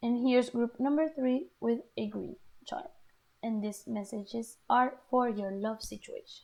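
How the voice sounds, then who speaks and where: A woman with a non-native accent, fairly slow pace and big swings in loudness. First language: not English. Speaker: tarot reader. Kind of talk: tarot reading video; guided breathing. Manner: halting.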